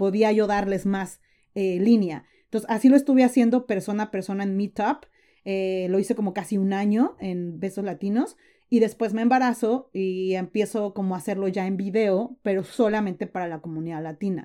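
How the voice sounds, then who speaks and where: A woman's dark, mellow voice moves at a moderate pace. The recording is very clean, with a silent background. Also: medium pitch for a woman, ordinary pitch variation. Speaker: entrepreneur and content creator. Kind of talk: interview.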